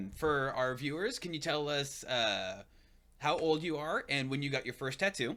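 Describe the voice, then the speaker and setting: A loud, fairly high-pitched man with a bright, sharp tone, ordinary pitch variation and a moderate pace, on a very clean recording with a silent background. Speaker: podcast host. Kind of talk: interview. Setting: live stream.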